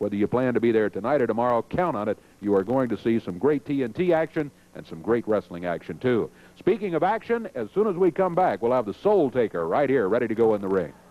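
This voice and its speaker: Here a man talks at a fairly quick pace in a medium-pitched voice with lively intonation. His is a plain, everyday voice. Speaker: wrestling TV host. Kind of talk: wrestling show announcement.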